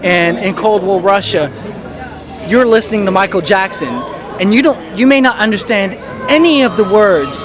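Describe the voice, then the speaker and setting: Long, frequent pauses break up lively intonation at a moderate pace with very even loudness, while crowd noise and audible room echo fill the background. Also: man. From France (Paris). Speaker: music producer. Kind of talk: interview. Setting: music festival. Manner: halting, many fillers and repeats.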